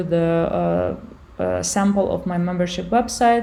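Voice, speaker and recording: Noticeable background noise sits behind a speaker with a Ukrainian accent. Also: woman. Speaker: online business tutor. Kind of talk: software tutorial. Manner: halting, many fillers.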